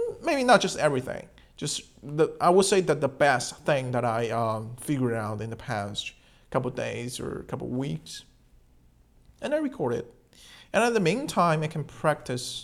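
With a Chinese accent, a man speaks at a moderate pace. The recording is very clean, with a silent background. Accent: Mandarin Chinese accent in English. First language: Mandarin. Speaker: podcast host. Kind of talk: casual monologue. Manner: halting.

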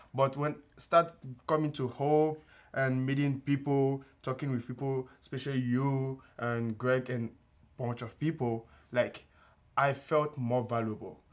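Very clean recording with a silent background, where a man at medium pitch talks at a fairly slow pace in a flat monotone. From Benin, West Africa. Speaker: young church member sharing testimony. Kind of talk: testimony. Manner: halting.

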